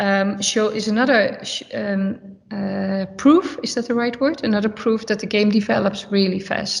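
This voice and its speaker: A woman with a Dutch accent speaks over noticeable background noise. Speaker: football manager. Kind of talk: press conference. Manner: halting, searching for words.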